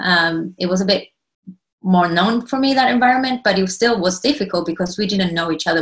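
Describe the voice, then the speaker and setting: A woman with an Argentine accent talks at a fairly quick pace and medium pitch. Her voice is somewhat breathy, with lively intonation. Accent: Argentinian. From Argentina. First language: Spanish. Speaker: cooperative member and consultant. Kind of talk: presentation.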